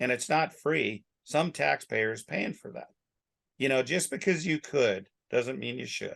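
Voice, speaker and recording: A man's medium-pitched voice with vocal fry, lively intonation and big swings in loudness. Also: fairly slow pace. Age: 60s. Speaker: rancher. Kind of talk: casual chat.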